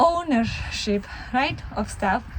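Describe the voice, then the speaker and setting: A woman with a Polish accent speaks at a high pitch. Noticeable background noise is present. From Poland. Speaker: family vlogger. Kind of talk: casual vlog talk to camera. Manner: conversational, with fillers.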